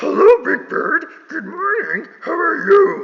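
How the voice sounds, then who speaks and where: Putting on a character voice, a man speaks raspily at an extremely high pitch and a fairly slow pace. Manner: friendly, excitable.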